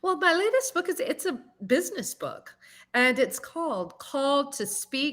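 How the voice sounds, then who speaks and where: A woman with a Southern US accent speaks at a fairly slow pace in a bright, sharp tone with very wide pitch swings, in a very clean recording with a silent background. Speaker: singer and public speaking coach. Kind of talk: interview.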